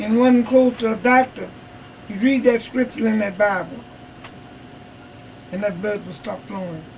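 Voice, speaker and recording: Long, frequent pauses break up a woman's speech, which has ordinary pitch variation over noticeable background noise. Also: fairly high pitch for a woman, moderate pace. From Texas. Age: 80s+. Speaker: retired state cook. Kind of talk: interview answer.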